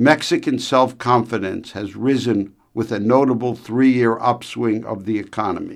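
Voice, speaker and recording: A man's plain, everyday voice at a medium pitch, moderate pace and fairly even intonation, with hardly any pauses. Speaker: radio commentator. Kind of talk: formal newsreading, a scripted radio commentary on trade delivered with authority. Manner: formal, measured, steady; crisp and authoritative, with an opinionated edge.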